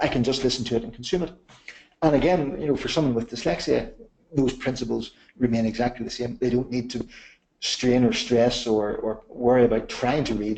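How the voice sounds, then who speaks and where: A Northern Irish accent at a fairly quick pace. The pitch moves up and down an ordinary amount. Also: man, medium pitch for a man. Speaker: software company manager presenting a webinar. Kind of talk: webinar product demonstration. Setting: online webinar. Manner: repeats words often.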